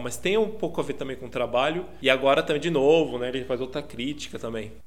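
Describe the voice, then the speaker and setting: Speaking at a fairly quick pace, a man with a medium pitch and ordinary pitch variation is heard with audible room echo. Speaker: podcast co-host. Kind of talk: casual chat. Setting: remote recording over internet.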